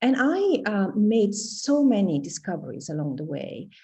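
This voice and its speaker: A woman speaks with an Italian accent. Her voice is somewhat breathy. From Italy. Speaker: professor. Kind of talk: interview.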